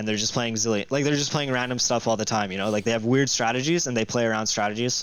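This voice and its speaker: This man speaks at a medium pitch, his intonation fairly even. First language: Russian. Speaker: esports pro player. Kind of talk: interview. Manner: hesitant, many fillers.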